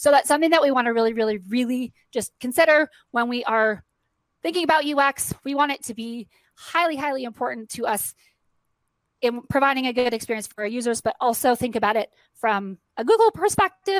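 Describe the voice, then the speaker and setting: A woman's high-pitched, lively delivery at a fairly quick pace, dry and close with no echo. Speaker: conference speaker. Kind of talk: presentation. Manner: fast.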